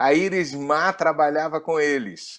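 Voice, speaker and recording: A man with a Rio de Janeiro accent speaks at a fairly slow pace against a quiet background. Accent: Carioca (Rio de Janeiro) Brazilian Portuguese. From Rio de Janeiro, Brazil (moved from Pará at six). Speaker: pastor. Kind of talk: interview, personal testimony.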